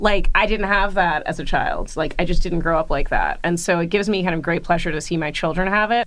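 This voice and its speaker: This woman speaks with an American accent in a plain, everyday voice. Her pace is fairly quick. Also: medium pitch for a woman, hardly any pauses. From grew up in many places, mostly USA (New York). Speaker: museum curator. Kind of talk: interview conversation. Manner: casual, many fillers.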